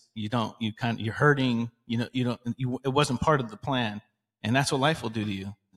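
Heard in a dry, close recording with no echo, the man has an ordinary speaking voice at medium pitch with fairly even intonation. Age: 40s. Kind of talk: casual faith discussion.

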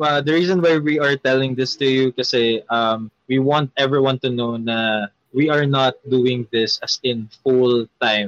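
Fairly slow and at medium pitch, a man speaks with fairly even intonation and very even loudness. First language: Tagalog. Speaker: magician. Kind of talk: casual chat. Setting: live stream.

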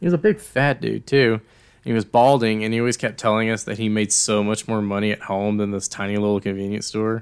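A man speaks at a fairly quick pace in an ordinary speaking voice, fairly low in pitch, with fairly even intonation. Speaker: podcast host. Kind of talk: casual chat.

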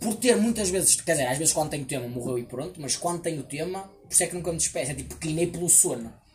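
This man talks very fast in a European Portuguese accent, with hardly any pauses. His pitch is fairly high and his intonation lively. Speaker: podcast guest. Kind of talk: casual chat. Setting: outdoor table at a house.

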